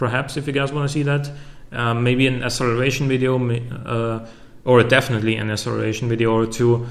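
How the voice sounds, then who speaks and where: A man's very fast, monotone delivery with flat intonation, a German accent, medium pitch and audible room echo. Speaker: YouTuber. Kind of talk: Q&A video. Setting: home recording with facecam. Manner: halting, many fillers and repetitions.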